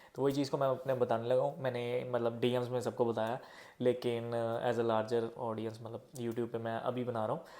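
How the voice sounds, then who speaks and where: Monotone and flat, a man speaks at a medium pitch. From India. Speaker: vlogger advising international students. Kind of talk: casual vlog advice. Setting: at home early morning, others sleeping.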